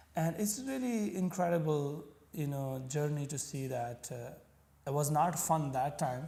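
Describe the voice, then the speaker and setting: A dark, mellow tone, somewhat breathy. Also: man. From Pakistan. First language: Punjabi. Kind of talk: interview. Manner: halting.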